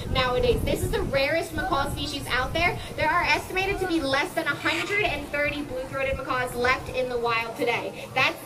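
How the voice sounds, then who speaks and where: A raised, projected voice at a moderate pace with hardly any pauses, over noticeable background noise. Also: woman. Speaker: presenter. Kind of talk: educational show commentary. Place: garden.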